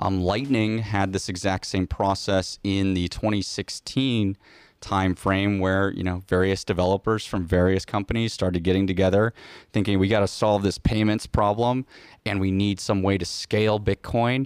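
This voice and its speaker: Flat, monotone intonation carries an American accent at a moderate pace. The recording is very clean with a silent background, and the sound is dry and close with no echo. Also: man, fairly low pitch for a man. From Iowa, US Midwest. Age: 20s. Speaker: Bitcoin software developer. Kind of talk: casual interview chat. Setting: in-person, studio in Texas.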